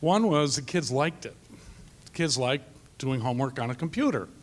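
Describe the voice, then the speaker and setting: Fairly high in pitch, a man speaks at a moderate pace. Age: 60s. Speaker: math teacher. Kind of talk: panel discussion.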